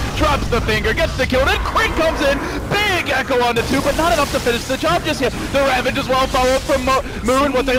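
A man's extremely high-pitched voice at a very fast pace, with ordinary pitch variation, very even loudness, and noticeable background noise. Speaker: esports commentator. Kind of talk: live esports commentary. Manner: fast-paced, play-by-play delivery; animated, excited.

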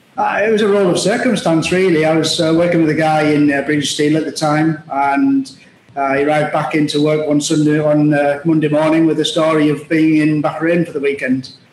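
Amid audible room echo and light background noise, a man speaks at a fairly quick pace with a fairly high pitch, very even loudness and fairly even intonation. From Middlesbrough, northeast England; northeast England. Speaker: logistics executive; guest. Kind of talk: interview. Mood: relaxed, conversational. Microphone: video call.

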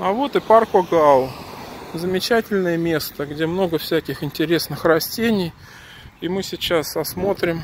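The sound is dry with no echo over light background noise. Speech goes at a fairly slow pace with long, frequent pauses. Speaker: walking vlogger. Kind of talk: casual vlog chat. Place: street. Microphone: phone near.

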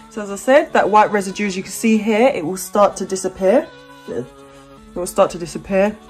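A woman speaks at a moderate pace with faint music in the background. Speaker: hair care vlogger. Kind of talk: tutorial. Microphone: phone near.

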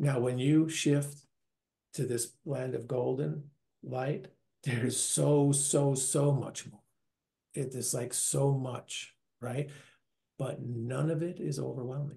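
A man's very slow, somewhat breathy voice with an American accent, medium pitch, a dark, mellow tone, ordinary pitch variation and long, frequent pauses over a quiet background. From US Northeast, New York; later Minnesota. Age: 60s. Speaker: near-death experiencer, retiree; interview guest. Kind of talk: interview testimony. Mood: warm, enthusiastic. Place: home room. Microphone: video call.

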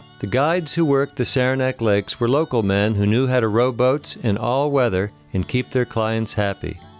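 A man talks at a medium pitch. Music plays in the background. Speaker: documentary host. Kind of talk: documentary narration.

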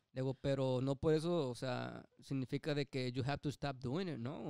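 Here a man speaks in a dark, mellow tone at medium pitch. His pitch varies in an ordinary way. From Mexico, Nayarit. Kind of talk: casual chat.

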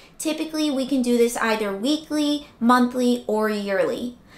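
A woman speaks at a fairly slow pace in a high pitch. Audible room echo surrounds her voice. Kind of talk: tutorial. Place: home room.

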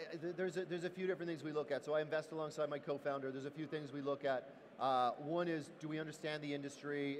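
A man, fairly high-pitched, at a very fast pace over light background noise. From Ireland, Dublin. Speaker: tech company CEO. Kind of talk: panel discussion. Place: stage. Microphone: headset.

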